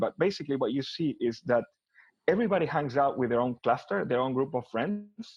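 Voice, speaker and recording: A man speaks at a fairly quick pace with an Argentine accent. His pitch sits in the medium range. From Argentina, Buenos Aires. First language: Spanish. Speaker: tech executive. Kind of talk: interview. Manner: repetitive stammering starts.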